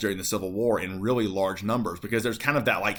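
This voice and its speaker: A fairly low-pitched man with an American accent and ordinary pitch variation, heard with audible room echo. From Appalachia, North Carolina-Tennessee border. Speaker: high school history teacher. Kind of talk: lecture. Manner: casual, many fillers (um, uh, like).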